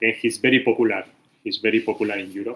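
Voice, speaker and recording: A man with a Spanish accent speaks in a fairly low pitch with a bright, sharp tone. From Spain. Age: 40s. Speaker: architect, livestream host. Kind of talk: casual livestream talk. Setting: YouTube livestream. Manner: halting, many fillers.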